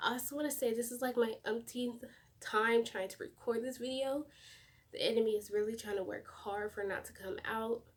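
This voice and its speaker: A quiet woman's voice, fairly high in pitch, at a fairly quick pace with fairly even intonation. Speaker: YouTuber. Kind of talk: testimony. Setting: home at night. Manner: quiet, hushed.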